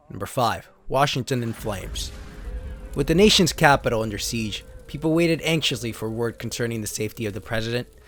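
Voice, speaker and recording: A man's medium-pitched voice in a dramatic tone at a very fast pace, with ordinary pitch variation and noticeable background noise. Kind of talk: dramatic story reading.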